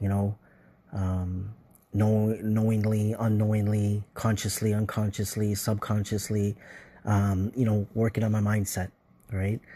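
Over a quiet background, a man speaks fairly slowly in a fairly low, dark, mellow voice, somewhat breathy, flat and monotone, with very even loudness. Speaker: listener voicemail contributor. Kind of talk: recorded voice message.

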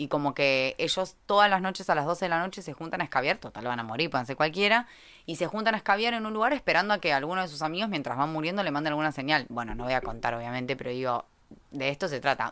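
Talking very fast in a Rioplatense accent, a woman uses a very deep, low voice with an animated tone and very wide pitch swings. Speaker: astrology podcast host. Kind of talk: casual chat.

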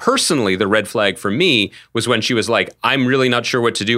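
A man with an ordinary speaking voice and an American accent talks at a fairly quick pace, medium in pitch with ordinary pitch variation. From southeastern Pennsylvania. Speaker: podcast co-host, TV critic. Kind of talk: casual chat. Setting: remote call.

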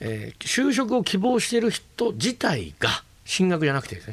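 The voice has vocal fry and pitch that swings very widely. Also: man. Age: 50s. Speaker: business leader. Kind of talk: interview. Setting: studio. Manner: halting.

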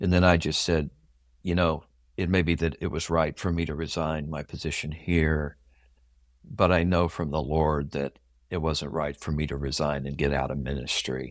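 A man with a very deep, low voice and an American accent speaks at a moderate pace in a flat monotone with vocal fry, on a very clean recording with a silent background. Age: 60s. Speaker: pastor. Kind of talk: interview, personal testimony.

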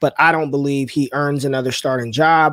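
An unremarkable speaking voice: a man at medium pitch with an American accent, a fairly quick pace and fairly even intonation, in a dry, close sound with no echo. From US West, North Las Vegas. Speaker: fantasy football analyst, former college football player. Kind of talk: casual chat.

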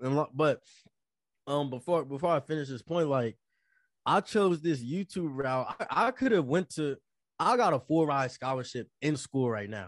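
A plain, everyday voice at a moderate pace with lively intonation, dry and close with no echo, against a quiet background. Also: man, fairly high pitch for a man. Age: 20s. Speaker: podcast co-host. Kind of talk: casual chat.

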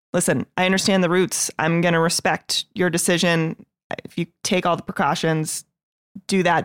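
A woman's medium-pitched voice, an ordinary speaking voice, at a moderate pace with a dry, close sound and no echo. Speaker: podcast co-host. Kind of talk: casual chat.

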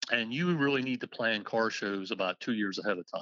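At a fairly quick pace, a man speaks at a medium pitch with ordinary pitch variation in an unremarkable speaking voice. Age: 60s. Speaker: car registry co-founder. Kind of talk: interview.

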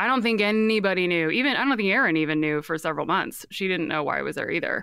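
A woman's fairly low-pitched voice with a bright, sharp tone. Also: dry, close sound with no echo. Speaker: ex-cult member telling her story. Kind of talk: casual storytelling interview. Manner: animated, laughs often.

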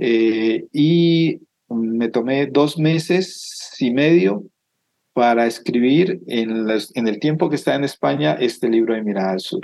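Speaking very slowly, a man with a medium pitch keeps his intonation lively. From Colombia, Cauca (Almaguer). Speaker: author. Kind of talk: interview. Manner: halting, with frequent repetitions.

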